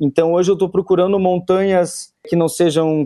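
A man is speaking. His tone is dark and mellow. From Brazil, Curitiba. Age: 30s. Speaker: mountaineer and food entrepreneur. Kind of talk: casual interview.

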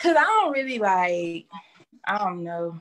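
A woman with an ordinary speaking voice talks at a moderate pace with lively intonation. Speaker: online adult content creator. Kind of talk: interview.

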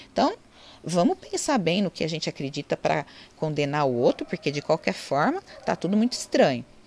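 A woman speaks at a fairly quick pace with a fairly low pitch. Her pitch swings very widely. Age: 40s. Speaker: online lecturer on psychology and spirituality. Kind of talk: informal lecture. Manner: conversational, with frequent fillers.

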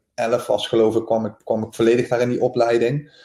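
This man's voice has a dark, mellow tone and a monotone, flat intonation. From Netherlands, North Limburg. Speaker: professional footballer. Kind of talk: interview. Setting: remote call.

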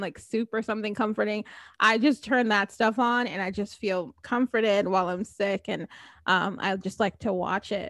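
In a normal speaking voice, a woman with an American accent speaks at a fairly high pitch with ordinary pitch variation, recorded very cleanly against a silent background with a dry, close sound and no echo. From New Jersey. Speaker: podcast host. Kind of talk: casual chat; scripted outro.

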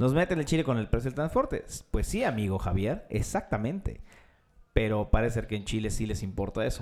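A man with a Mexican accent talks at a fairly quick pace, his pitch medium. His intonation is lively. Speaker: podcast host. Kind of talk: casual chat.

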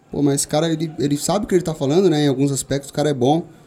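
Speaking very fast, a man has a fairly high pitch and a dark, mellow tone. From São Paulo, east zone (Vila Ré). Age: 20s. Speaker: shooting instructor and gun club owner. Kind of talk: casual interview.

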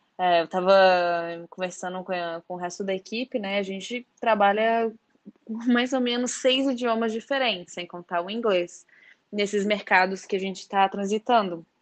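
In a normal speaking voice, a woman talks at a medium pitch and a moderate pace with ordinary pitch variation. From Brazil, Belo Horizonte (Minas Gerais). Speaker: marketing manager at a drone company. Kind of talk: interview.

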